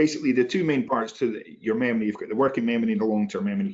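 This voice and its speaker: Talking at a very fast pace, a man lets his pitch swing very widely. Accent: Inverness. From Scotland, Inverness. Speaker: human factors specialist. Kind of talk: panel discussion answer.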